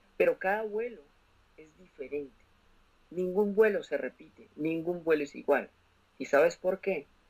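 A high-pitched male voice with big swings in loudness, long, frequent pauses and ordinary pitch variation. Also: fairly slow pace. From Colombia, Bogotá. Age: 20s. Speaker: commercial pilot and motivational speaker. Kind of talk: testimony.

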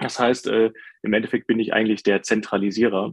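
With an unremarkable speaking voice, a man talks fairly quickly at a fairly low pitch, his intonation fairly even and the sound dry and close with no echo. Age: 30s. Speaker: IT specialist. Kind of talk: casual chat.

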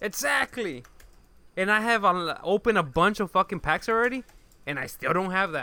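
In an American accent, a man uses a raised, projected voice with a bright, sharp tone, high pitch, lively intonation and a moderate pace, recorded very clean with a silent background and a dry, close sound with no echo. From Chicago. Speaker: podcast co-host. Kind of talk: casual chat.

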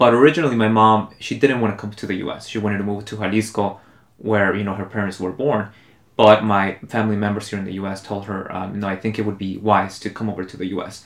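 A man with a Spanish accent talks at a very fast pace, his pitch fairly low. His intonation stays fairly even while his loudness swings widely. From Mexico City, then Los Angeles from age 11. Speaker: immigrant rights activist. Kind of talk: casual chat.

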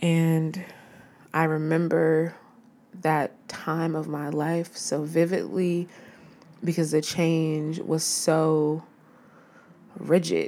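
A woman speaks very slowly in a very deep, low pitch, her dark, mellow tone flat and monotone, broken by long, frequent pauses. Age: 30s. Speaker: podcast host. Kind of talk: casual solo monologue.

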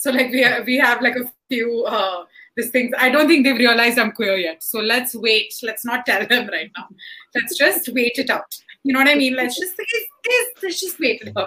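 At a moderate pace, a woman talks loudly and in an animated tone, her high pitch moving with ordinary variation. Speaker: stand-up comedian. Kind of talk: casual panel discussion. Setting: online video session.

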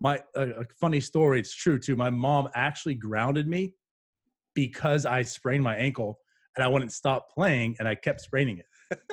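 This man talks at a moderate pace with an American accent and ordinary pitch variation. His voice is somewhat breathy. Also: medium pitch for a man. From western Pennsylvania. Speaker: podcast host. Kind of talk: casual interview. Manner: soft-spoken.

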